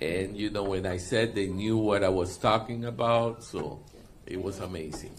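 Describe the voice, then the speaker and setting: Over noticeable background noise, a man talks with a fairly low pitch and fairly even intonation. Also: moderate pace. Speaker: interpreter.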